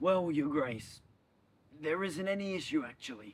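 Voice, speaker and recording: Here a man does a put-on character voice. It sits fairly high in pitch and moves at a moderate pace. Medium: short film. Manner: fawning, oily.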